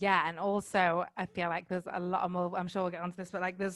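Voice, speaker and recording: A woman with a northern English accent. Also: very clean recording, silent background. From northern England, Manchester. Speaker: life coach, podcaster. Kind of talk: casual chat.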